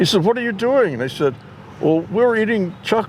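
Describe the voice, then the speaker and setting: A man at a moderate pace lets his pitch swing very widely, with noticeable background noise behind him. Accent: American. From San Diego, California. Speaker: family elder telling stories. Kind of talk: casual chat. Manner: halting.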